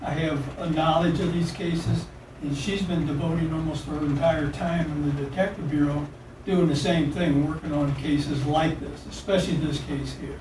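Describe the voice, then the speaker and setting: A man with a fairly high pitch speaks at a moderate pace, with audible room echo and noticeable background noise in the recording. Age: 70s. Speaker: cold case investigator. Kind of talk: police interrogation.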